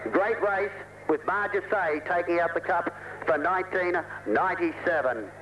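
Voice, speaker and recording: Very slow, high-pitched male voice in an Australian accent, very even in loudness, with ordinary pitch variation and noticeable background noise. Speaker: race caller. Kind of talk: live commentary. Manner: excitable.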